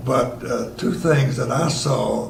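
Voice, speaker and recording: A man with a Tennessee accent at a medium pitch, with noticeable background noise and audible room echo. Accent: Southern US (Tennessee). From Tennessee (Chattanooga), US South. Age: 80s+. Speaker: elderly local resident sharing memories. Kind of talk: storytelling reminiscence. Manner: casual with frequent hesitations.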